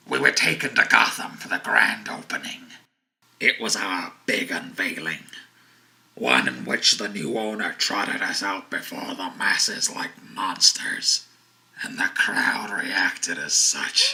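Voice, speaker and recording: Raspy and fairly slow, a man performs a put-on character voice. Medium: audio drama. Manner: brooding, low, menacing.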